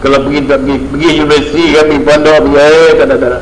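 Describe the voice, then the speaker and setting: Over noticeable background noise and audible room echo, a man with a fairly high pitch talks at a very fast pace with fairly even intonation. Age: 60s. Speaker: religious teacher. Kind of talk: religious lecture. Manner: conversational.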